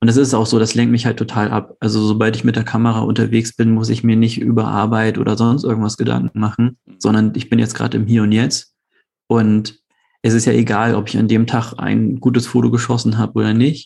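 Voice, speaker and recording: A man with a medium pitch speaks at a fairly quick pace in a monotone, flat intonation. His dark, mellow tone carries vocal fry at a very even loudness. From Hamburg, northern Germany. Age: 30s. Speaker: hobby photographer. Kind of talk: casual chat. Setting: video call.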